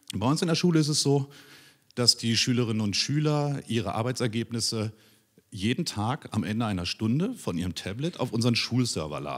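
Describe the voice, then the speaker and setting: The background is quiet. A man talks at a fairly quick pace with lively intonation. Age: 40s. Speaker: teacher. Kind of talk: conference talk. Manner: hesitant, many filler sounds. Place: hall. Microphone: handheld.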